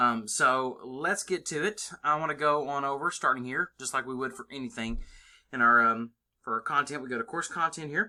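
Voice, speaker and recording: A man with a bright, sharp tone and fairly high pitch speaks against a quiet background. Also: ordinary pitch variation. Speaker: college English instructor. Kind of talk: screencast tutorial. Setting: screen recording. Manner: casual with many fillers; fast. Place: home room. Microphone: webcam.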